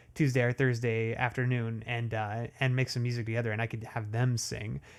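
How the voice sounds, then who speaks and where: The man's pitch sits in the medium range. He speaks at a fairly quick pace. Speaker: amateur music producer. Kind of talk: live stream chat. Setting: home studio live stream. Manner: halting.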